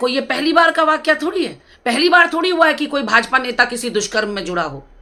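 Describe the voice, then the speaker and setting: Putting on a character voice, a woman talks at a very fast pace, high-pitched and hoarse, with lively intonation. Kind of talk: angry, political commentary.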